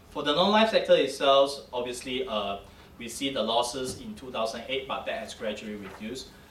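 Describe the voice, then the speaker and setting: A man's medium-pitched voice, fairly quick and with lively intonation, amid noticeable background noise and audible room echo. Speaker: insurance ratings analyst. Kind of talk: conference presentation. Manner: fast; halting.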